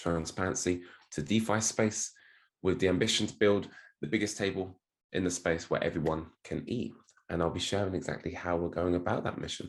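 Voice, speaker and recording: In a British accent, a man speaks with a very deep, low pitch and ordinary pitch variation against a quiet background. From United Kingdom. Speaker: crypto marketing executive and speed reading coach. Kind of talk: podcast interview.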